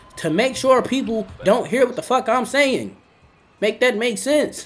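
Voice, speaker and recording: Noticeable background noise runs beneath a man who talks fairly quickly. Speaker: livestreamer. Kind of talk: livestream monologue. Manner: loud; animated.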